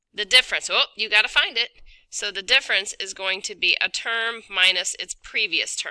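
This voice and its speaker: Her voice has a bright, sharp tone and a fairly high pitch, with fairly even intonation but big swings in loudness. The woman is heard in a dry, close sound with no echo. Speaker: math teacher. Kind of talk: tutorial. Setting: recorded video lesson. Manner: fast.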